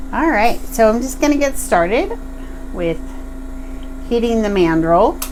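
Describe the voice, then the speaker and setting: A woman with a high voice speaks at a fairly slow pace with very wide pitch swings and long, frequent pauses, over noticeable background noise and audible room echo. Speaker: glass bead artist. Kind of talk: tutorial. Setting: live stream from home studio. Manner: casual, with frequent fillers.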